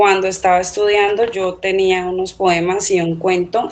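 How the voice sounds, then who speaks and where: An ordinary speaking voice from a woman, medium in pitch, at a fairly slow pace. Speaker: novelist and teacher. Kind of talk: interview.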